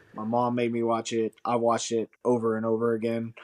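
A man talks with a medium pitch, keeping a moderate pace. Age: 30s. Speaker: podcast co-host. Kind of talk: casual chat.

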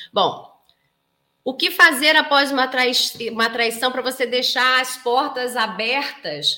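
The voice is raised and projected, animated in tone and bright and sharp. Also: woman. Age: 40s. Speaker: psychoanalyst and couples therapist. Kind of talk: live stream talk to viewers. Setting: live stream.

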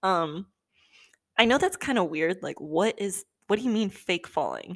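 Speaking with a Californian accent, a woman holds a medium pitch and moderate pace, with ordinary pitch variation on a very clean recording with a silent background. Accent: Californian American English. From Southern California. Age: 20s. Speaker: podcast host. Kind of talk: casual monologue. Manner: animated.

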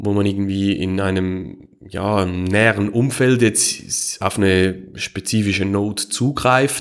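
A man with a Swiss German accent speaks at a very slow pace in a fairly low voice, his intonation fairly even and his delivery with hardly any pauses. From Switzerland. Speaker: Bitcoin security consultant, electrical engineer. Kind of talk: podcast interview.

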